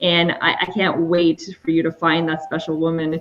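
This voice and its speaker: A woman with a French Canadian accent speaks at a moderate pace and a fairly low pitch. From Quebec. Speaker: matchmaker and dating coach. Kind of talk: online show interview.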